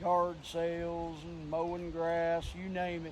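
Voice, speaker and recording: The man's voice is high in pitch and monotone, with flat intonation. Audible room echo surrounds it. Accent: Appalachian. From West Virginia, Clarksburg. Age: 50s. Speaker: vlogger. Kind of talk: casual vlog talk. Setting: outdoors. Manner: relaxed.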